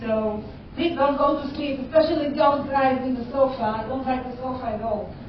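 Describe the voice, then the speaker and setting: Amid noticeable background noise and audible room echo, a woman speaks at a high pitch and a moderate pace with fairly even intonation. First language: not English. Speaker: cybersecurity educator. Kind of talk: conference talk. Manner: halting.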